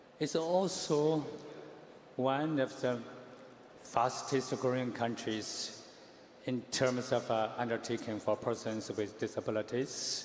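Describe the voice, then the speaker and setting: A man with a Chinese accent and a medium pitch, speaking very slowly with long, frequent pauses. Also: ordinary pitch variation, very even loudness. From China. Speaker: candidate in organization election. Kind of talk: campaign speech. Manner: quiet.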